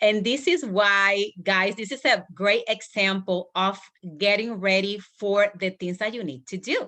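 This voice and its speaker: A woman speaks in a Spanish accent at a medium pitch. Her tone is bright and sharp, and the background is quiet. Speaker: business coach. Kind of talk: team training call. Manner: halting.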